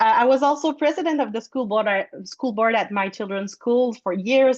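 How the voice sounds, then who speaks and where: A woman with a Quebec accent speaks at a moderate pace and a fairly high pitch, with ordinary pitch variation, in a dry, close recording with no echo. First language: French. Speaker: food blogger and board candidate. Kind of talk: candidate speech. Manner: halting.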